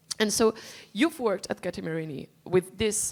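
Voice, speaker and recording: Speaking in a non-native accent, a woman uses lively intonation at a fairly slow pace. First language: not English. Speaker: panel moderator. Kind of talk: conference panel moderation. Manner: halting.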